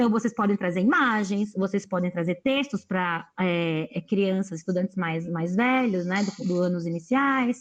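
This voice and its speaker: A woman speaks at a fairly slow pace. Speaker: educator speaking to teachers. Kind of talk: online lecture. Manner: animated.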